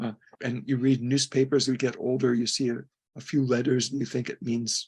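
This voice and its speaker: The voice carries vocal fry and ordinary pitch variation. It moves at a fairly quick pace. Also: man. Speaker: retired philosophy professor. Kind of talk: interview. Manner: sometimes mumbling.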